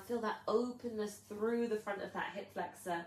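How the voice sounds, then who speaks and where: Noticeable background noise accompanies a woman talking in a medium register. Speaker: yoga teacher. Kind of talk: guided yoga class. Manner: slow, soothing.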